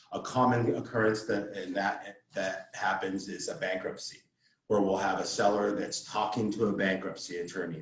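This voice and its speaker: This is a man speaking at a fairly quick pace. Audible room echo surrounds his voice. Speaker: title officer giving real estate training. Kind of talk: training presentation. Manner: fast-talking; halting, many fillers and repetitions.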